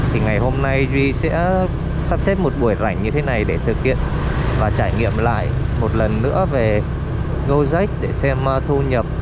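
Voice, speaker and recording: Loud background noise sits behind a man speaking at a moderate pace. He leaves long, frequent pauses. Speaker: vlogger riding for a ride-hailing app. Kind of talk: casual vlog chat. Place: motorbike.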